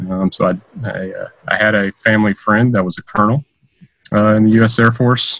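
Dry and close with no echo, the recording has a man with an American accent, an unremarkable speaking voice, a fairly low pitch, fairly even intonation, and a moderate pace. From US South, Georgia. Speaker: Air Force cyber superintendent. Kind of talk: casual interview.

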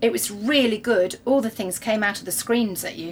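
Moderate pace and ordinary pitch variation. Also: woman, medium pitch for a woman.

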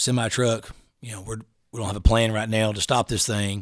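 On a very clean recording with a silent background, a man speaks fairly quickly in a medium, monotone, flat pitch. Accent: East Texas. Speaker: SWAT officer. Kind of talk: casual chat.

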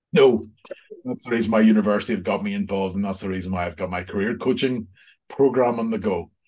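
Speaking very fast in a Northern Irish accent, a man has a fairly low pitch. His pitch varies in an ordinary way against a quiet background. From Northern Ireland. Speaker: executive coach and accountancy lecturer. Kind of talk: casual interview. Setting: video call.

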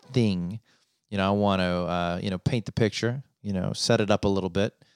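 On a very clean recording with a silent background, a man speaks at a very deep, low pitch. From Rocky Mountains region, North America. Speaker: podcast host. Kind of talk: casual solo podcast monologue. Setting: office. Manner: monotone at times; hesitant, filler-heavy.

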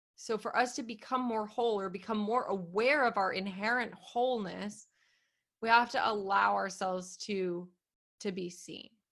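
A woman with a plain, everyday voice speaks at a medium pitch and a moderate pace, her intonation fairly even. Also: very clean recording, silent background. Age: 30s. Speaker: podcast host and business coach. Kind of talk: casual chat.

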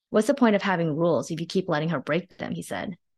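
Here is a woman with an ordinary speaking voice and a fairly low pitch. She talks at a fairly quick pace with lively intonation. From northern New Jersey, US (born in China). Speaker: novelist, former investment banker. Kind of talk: reading aloud.

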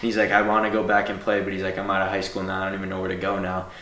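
Noticeable background noise sits under a man talking at a very fast pace. His fairly low voice stays monotone and flat. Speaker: podcast host. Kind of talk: casual interview chat.

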